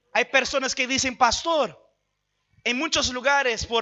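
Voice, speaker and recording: An extremely high male voice with fairly even intonation. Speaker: pastor. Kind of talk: sermon.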